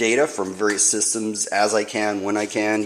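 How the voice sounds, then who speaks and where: The man's voice is fairly low in pitch. There is noticeable background noise. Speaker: RC hobby YouTuber. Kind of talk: casual tutorial monologue. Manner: hesitant with fillers.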